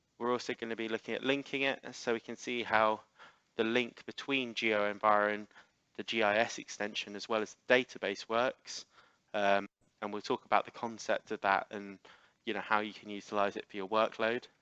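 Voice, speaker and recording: This man has a fairly low pitch and a bright, sharp tone, with an English accent. His intonation is monotone and flat. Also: dry, close sound with no echo. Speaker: software trainer. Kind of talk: webinar presentation. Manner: fast.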